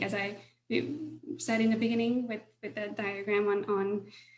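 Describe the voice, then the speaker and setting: Audible room echo surrounds a woman speaking with monotone, flat intonation. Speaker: solar finance professional. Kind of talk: webinar presentation.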